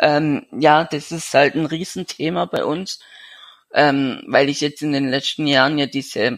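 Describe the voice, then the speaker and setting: In a very clean recording with a silent background and a dry, close sound with no echo, a man speaks fairly slowly in a fairly high voice with fairly even intonation. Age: 20s. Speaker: young man with a severe genetic illness. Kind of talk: interview. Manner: halting.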